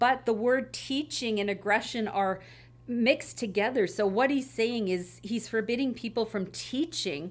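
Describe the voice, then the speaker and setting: On a very clean recording with a silent background, a woman with a normal speaking voice and fairly high pitch speaks at a moderate pace with ordinary pitch variation. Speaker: associate pastor. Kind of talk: panel discussion about church history and scripture.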